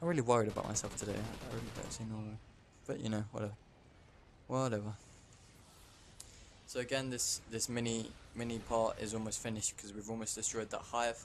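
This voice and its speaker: Speaking very fast but with long, frequent pauses, a man with a British accent holds a medium pitch in a monotone, flat intonation. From England. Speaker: gaming YouTuber. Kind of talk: gameplay commentary. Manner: halting, with frequent stammers and repeats.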